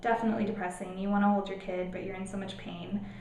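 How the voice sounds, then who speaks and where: A woman's voice with noticeable background noise. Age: 20s. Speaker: teacher, mother vlogger. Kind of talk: casual talk to camera.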